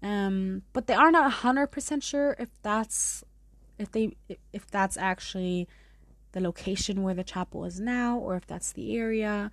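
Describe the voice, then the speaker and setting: A woman with a German accent, medium pitch, ordinary pitch variation, and a moderate pace against a quiet background. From Munich, Germany. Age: 20s. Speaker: podcast host. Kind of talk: casual storytelling monologue. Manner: casual, chatty.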